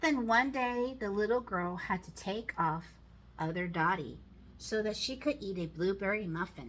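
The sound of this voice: Here the voice reads in an unforced way.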